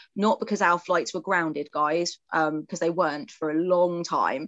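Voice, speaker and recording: A fairly quick voice with an English accent, dry and close with no echo. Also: woman. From England. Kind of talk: casual chat. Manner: animated.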